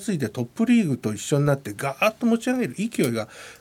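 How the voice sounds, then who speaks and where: Somewhat breathy, a man speaks at a fairly quick pace with very wide pitch swings. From Japan, Yamanashi. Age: 50s. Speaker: rugby executive and university professor. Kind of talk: radio interview.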